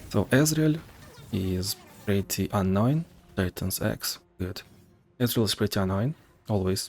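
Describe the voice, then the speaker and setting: Music plays in the background as a man with a fairly low pitch speaks at a fairly slow pace, in a dry, close sound with no echo. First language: not English (English is third language). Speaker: gaming guide creator. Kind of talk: game tutorial commentary. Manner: casual, with filler words.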